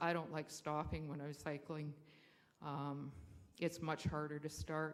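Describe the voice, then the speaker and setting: The voice has a Canadian accent. The pace is fairly slow. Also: woman. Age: 60s. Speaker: public speaker at council meeting, school trustee. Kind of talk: public comment at council meeting.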